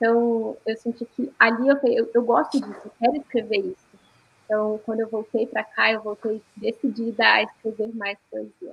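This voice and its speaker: A woman with a fairly high pitch speaks in a plain, everyday voice, her loudness swinging widely. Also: fairly even intonation, moderate pace. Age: 20s. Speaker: poet and blogger. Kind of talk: panel discussion.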